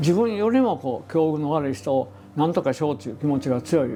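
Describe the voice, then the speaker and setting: A man speaks fairly quickly at a fairly high pitch with lively intonation. Music plays in the background. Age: 80s+. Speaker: management consultant. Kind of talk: interview answer.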